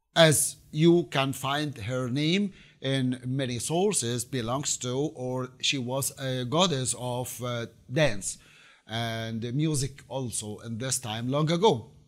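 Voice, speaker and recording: Over a quiet background, a man speaks at a very slow pace. His pitch varies in an ordinary way. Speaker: presenter. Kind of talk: lecture. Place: home room. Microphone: lapel.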